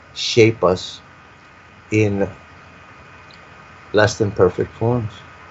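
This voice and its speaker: Over noticeable background noise, a man speaks at a fairly low pitch, very slowly and with monotone, flat intonation. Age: 70s. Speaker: guest speaker on spirituality and UFO topics. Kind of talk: interview conversation. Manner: reflective, halting with repetitions.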